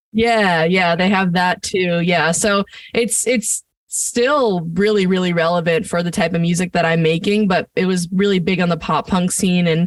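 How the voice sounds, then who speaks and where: A woman with an American accent and an unremarkable speaking voice, medium in pitch, at a moderate pace, with fairly even intonation and very even loudness, on a very clean recording with a silent background. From New Jersey, US (Point Pleasant, Jersey Shore). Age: 20s. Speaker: singer-songwriter. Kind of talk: casual interview chat. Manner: casual, filler-heavy.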